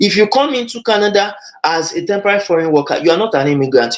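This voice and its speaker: A man's high-pitched voice at a very fast pace. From Nigeria. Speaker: webinar host on immigration. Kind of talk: webinar presentation. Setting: online webinar.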